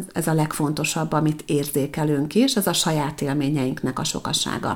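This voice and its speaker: This woman's voice is very deep and low. She talks at a fairly slow pace. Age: 40s. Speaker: podcast host, personal development consultant. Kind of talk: solo monologue podcast.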